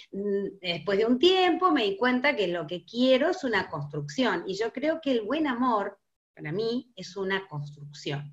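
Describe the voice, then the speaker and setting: A woman speaks at a fairly slow pace in a fairly high pitch, her tone bright and sharp, with very wide pitch swings. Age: 50s. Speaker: guest. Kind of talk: casual chat.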